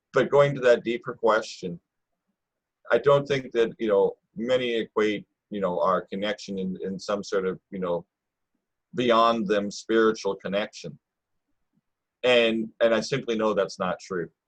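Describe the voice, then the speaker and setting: A man of medium pitch speaks at a fairly slow pace with long, frequent pauses and ordinary pitch variation. The sound is dry and close, with no echo. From northern Canada, First Nations. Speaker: First Nations elder. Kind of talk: podcast interview. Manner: repeats words often.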